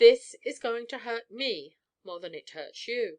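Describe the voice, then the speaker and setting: A put-on character voice, raspy and stern, moves at a fairly slow pace. Its intonation is lively. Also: woman, fairly high pitch for a woman. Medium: read story. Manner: stern, formal.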